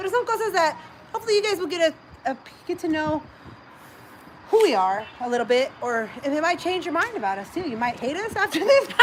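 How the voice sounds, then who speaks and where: Over noticeable background noise, a woman with an extremely high pitch talks very fast in an animated tone, swinging her pitch very widely and leaving long, frequent pauses. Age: 30s. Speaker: livestream host. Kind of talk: casual chat.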